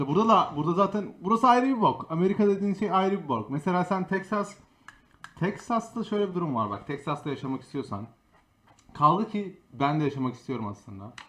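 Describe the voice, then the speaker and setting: Speaking at a fairly quick pace, a high-pitched man lets his pitch swing very widely. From Istanbul, Turkey. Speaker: streamer and podcast host. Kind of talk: casual chat.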